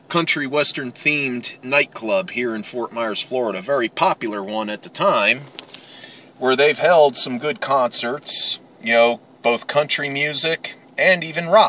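A man at a fairly slow pace, ordinary pitch variation, light background noise and a dry sound with no echo. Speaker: vlogger. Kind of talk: casual vlog chat. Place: car.

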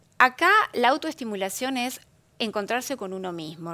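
A woman speaks in a bright, sharp tone with lively intonation. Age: 50s. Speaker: psychologist and sex therapist; guest. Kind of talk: interview. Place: studio.

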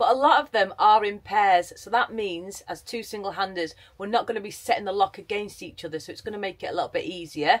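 A woman at medium pitch talks at a very fast pace with hardly any pauses, her animated delivery carrying ordinary pitch variation and big swings in loudness. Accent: English. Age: middle-aged. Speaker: vlogger. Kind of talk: casual vlog talk to camera. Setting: on a canal boat.

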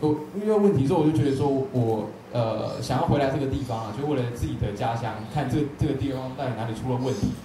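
Over light background noise with audible room echo, a man with a Taiwanese accent talks at a very fast pace. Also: ordinary pitch variation. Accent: Taiwanese Mandarin. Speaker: event moderator. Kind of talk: panel moderation. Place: hall.

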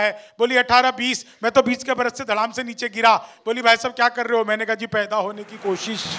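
Against a quiet background, a man speaks in a raised, projected voice with an animated, bright and sharp tone. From Bihar, India. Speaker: comedic poet. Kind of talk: stand-up; stand-up comic storytelling. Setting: stage with audience. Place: stage. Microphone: handheld.

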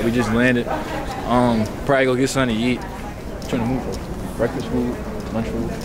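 A man talking at a fairly quick pace with crowd noise in the background. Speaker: vlogger. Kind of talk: casual vlog chat. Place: station. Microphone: phone near.

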